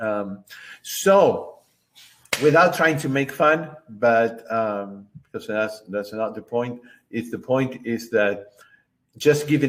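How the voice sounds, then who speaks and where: A very slow pace with ordinary pitch variation, in a Spanish accent. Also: man. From Argentina. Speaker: book club host and concert pianist. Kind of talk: online book club discussion. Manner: halting with many fillers.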